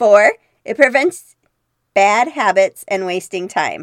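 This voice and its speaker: A woman's voice, dry and close with no echo. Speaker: podcast host. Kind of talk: solo podcast talk.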